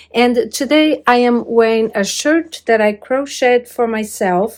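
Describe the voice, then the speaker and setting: A woman with a Brazilian Portuguese accent, fairly high-pitched, at a very slow pace with ordinary pitch variation, on a very clean recording against a silent background. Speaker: crafting YouTuber. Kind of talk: tutorial-style video talk. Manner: hesitant with many fillers.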